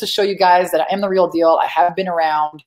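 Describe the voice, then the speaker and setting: A woman's fairly low-pitched voice at a fairly quick pace. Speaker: business coach. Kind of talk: webinar training. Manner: fast; direct.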